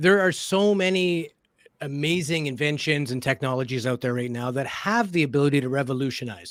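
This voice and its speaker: This man has an unremarkable speaking voice with a Canadian accent, a fairly high pitch, ordinary pitch variation and a fairly quick pace. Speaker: podcast co-host. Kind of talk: casual discussion.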